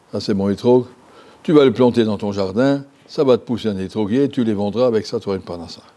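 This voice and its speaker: With ordinary pitch variation, the man speaks at a very fast pace. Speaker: Torah teacher and yeshiva head. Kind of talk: Torah lesson. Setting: yeshiva classroom. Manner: halting, conversational, repeats and self-corrects. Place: hall. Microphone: lapel.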